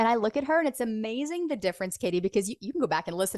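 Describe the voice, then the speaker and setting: Very fast delivery with very wide pitch swings, a dry, close sound free of echo, and a quiet background. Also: woman. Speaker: podcast host and business founder. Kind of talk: casual interview conversation. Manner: conversational, engaging.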